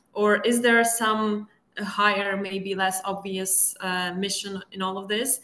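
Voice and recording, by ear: In a room with audible echo, a woman at medium pitch speaks slowly in a bright, sharp tone with little pitch movement.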